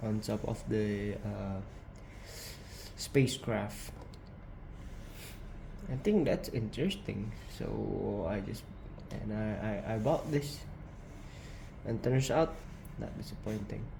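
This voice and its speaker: Speaking at a very slow pace, a man leaves long, frequent pauses against noticeable background noise. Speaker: model kit builder. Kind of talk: casual product review to camera.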